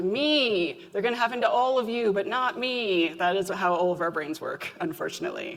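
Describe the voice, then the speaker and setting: A woman's lively intonation and fairly quick pace come through noticeable background noise. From Canada. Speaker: application security expert and conference speaker. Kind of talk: conference talk. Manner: animated, casual.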